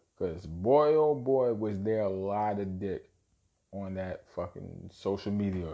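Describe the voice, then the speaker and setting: A man speaks at a fairly slow pace in a fairly low pitch, his tone dark and mellow. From Brooklyn, New York. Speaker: podcast host and rapper. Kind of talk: casual solo podcast monologue.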